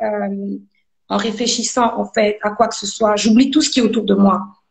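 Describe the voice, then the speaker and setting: A somewhat breathy woman's voice with a fairly high pitch. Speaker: gospel singer. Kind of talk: interview testimony. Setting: live video stream.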